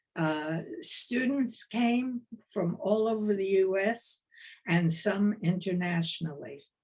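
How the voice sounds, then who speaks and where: In a New York accent, a woman with a medium pitch talks at a very slow pace. Her voice is somewhat breathy, with ordinary pitch variation. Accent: New York accent, still present. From US East Coast, New York. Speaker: retired dance professor. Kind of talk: lecture. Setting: video call.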